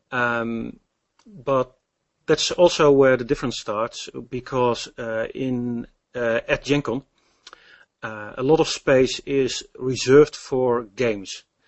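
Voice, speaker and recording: The speaker has a Dutch accent and fairly even intonation. The pace is very slow. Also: man, medium pitch for a man. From Netherlands. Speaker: game demonstrator and programmer. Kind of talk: interview. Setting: Skype call. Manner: halting.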